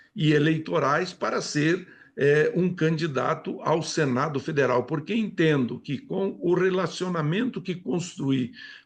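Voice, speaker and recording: A man's high-pitched voice with lively intonation at a very slow pace, over a quiet background. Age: 70s. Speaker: politician. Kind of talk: TV interview.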